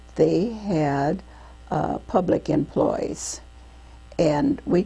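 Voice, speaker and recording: A woman talks very slowly in an American accent, with noticeable noise behind her. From Iowa, USA. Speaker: WWII Navy WAVES veteran. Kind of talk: oral history interview answer. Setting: interview recording.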